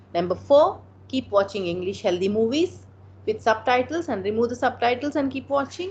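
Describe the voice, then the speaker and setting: A woman with an Indian accent talks at a moderate pace, her fairly high pitch making very wide swings. Vocal fry runs through her voice. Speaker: motivational speaker and counselor. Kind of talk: motivational talk with Q&A. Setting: online video meeting.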